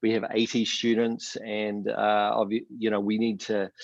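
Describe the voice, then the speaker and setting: With a New Zealand accent, a man speaks at a fairly low pitch over a quiet background. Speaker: professor. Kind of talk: panel town hall introduction.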